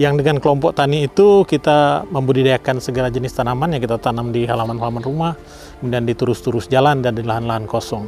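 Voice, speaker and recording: A man rattles along at a very fast pace, his pitch varying in an ordinary way, as music plays behind him. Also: medium pitch for a man. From Indonesia, Bandung (West Java). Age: 50s. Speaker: environmental activist. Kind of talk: interview testimony. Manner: hesitant, with fillers.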